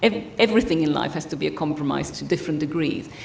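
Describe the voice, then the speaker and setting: A woman speaks with very wide pitch swings. Noticeable background noise and audible room echo come through. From Italy. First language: Italian. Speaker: psychotherapist trainer. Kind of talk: lecture. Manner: fast.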